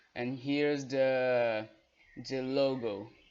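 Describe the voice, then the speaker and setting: A man speaks with a Brazilian Portuguese accent at a medium pitch. His intonation stays monotone and flat. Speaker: guest tutor. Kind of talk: tutorial. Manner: halting.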